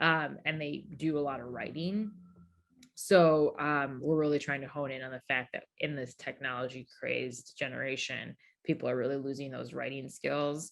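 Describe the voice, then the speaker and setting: A woman with a very deep, low pitch, vocal fry and fairly even intonation. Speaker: founder of youth entrepreneurship program. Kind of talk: conference talk Q&A. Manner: fast.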